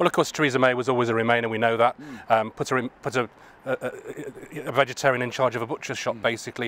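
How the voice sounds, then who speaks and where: Speaking at a very fast pace, a man keeps his intonation fairly even. The sound is dry, with no echo. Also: medium pitch for a man. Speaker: political party official interviewing colleagues. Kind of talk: political interview. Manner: halting, many fillers. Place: street. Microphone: handheld.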